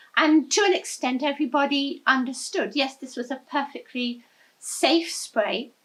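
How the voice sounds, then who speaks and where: Her pitch high and her intonation lively, a woman speaks with an English accent. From England. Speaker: environmental activist. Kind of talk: interview.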